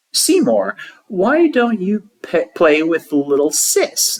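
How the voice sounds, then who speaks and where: Someone uses a put-on character voice with a fairly high pitch, speaking at a very slow pace. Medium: read story. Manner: eager, lively.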